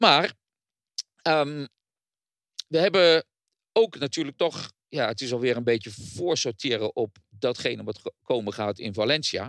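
A man's medium-pitched voice, dry and close with no echo, with lively intonation, a fairly slow pace and long, frequent pauses. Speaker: podcast host. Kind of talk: casual chat.

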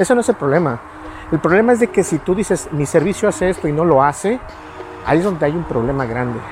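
The speech comes at a very fast pace with noticeable background noise. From Mexico. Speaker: tech vlogger. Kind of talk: casual vlog monologue. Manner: halting, many fillers.

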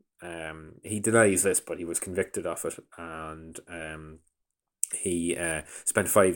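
On a very clean recording with a silent background, a man speaks with a Donegal Irish accent. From Ireland, County Donegal. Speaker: radio producer and documentary maker. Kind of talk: interview. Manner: hesitant, many fillers.

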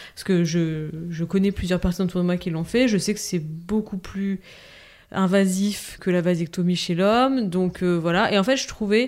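A woman speaks at a moderate pace in an unremarkable speaking voice. Her pitch is medium, with ordinary variation. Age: 30s. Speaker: mother and entrepreneur, podcast guest. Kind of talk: casual chat.

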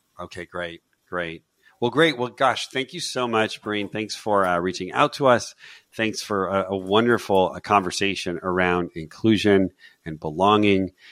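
A man with an ordinary speaking voice talks at a moderate pace, his fairly low pitch showing ordinary variation and big swings in loudness. The very clean recording has a silent background and a dry, close sound with no echo. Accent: American. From US West Coast. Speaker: podcast co-host. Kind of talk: interview.

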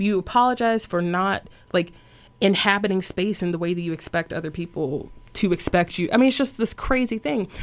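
Speaking at a fairly quick pace, a woman with an unremarkable speaking voice keeps a medium pitch and ordinary pitch variation. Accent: American. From US South. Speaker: yoga teacher. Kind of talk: casual interview. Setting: radio studio.

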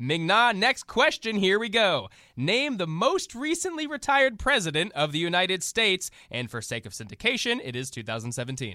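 A man uses a raised, projected voice at a high pitch with very wide pitch swings and a moderate pace. His tone is animated, bright and sharp. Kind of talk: comedy sketch with game-show host and satirical character voices. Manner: over-the-top cheery game-show announcer patter, exaggerated and animated.

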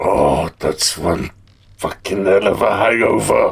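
A raspy, put-on character voice at a fairly slow pace. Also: man. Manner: sheepish, groggy.

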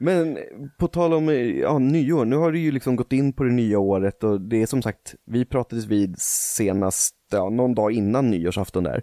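With a dark, mellow tone and a medium pitch, a man talks at a moderate pace with lively intonation and very even loudness, the sound dry and close with no echo. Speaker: podcast co-host. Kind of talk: casual chat.

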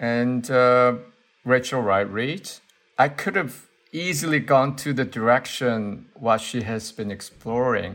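At a very slow pace, a man with a Korean accent speaks at medium pitch with ordinary pitch variation, on a very clean recording with a silent background. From Seoul, South Korea. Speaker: artist. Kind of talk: interview conversation. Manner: halting, thoughtful, with fillers.

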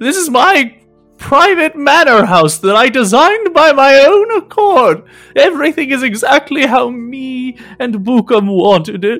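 Putting on a character voice with extremely high pitch, a man talks at a moderate pace as faint music plays in the background. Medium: actual play. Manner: proud, slightly flustered.

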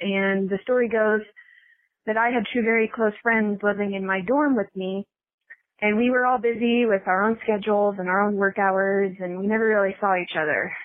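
In a normal speaking voice, a woman speaks at a moderate pace with a medium pitch and fairly even intonation. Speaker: listener calling in. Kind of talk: voice message story.

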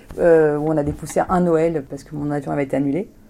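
The speaker is a woman. Her voice sits very deep and low. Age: 40s. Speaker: humanitarian aid manager. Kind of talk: interview. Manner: energetic.

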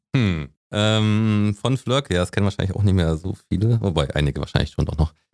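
A man talks at a fairly quick pace in a fairly low pitch. His pitch variation is ordinary. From rural Germany. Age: 40s. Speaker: online community co-founder, editorial head. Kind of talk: casual interview.

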